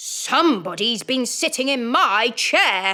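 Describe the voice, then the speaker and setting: Putting on a character voice, a woman speaks slowly at a high pitch with a gruff sound. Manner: gruff, displeased.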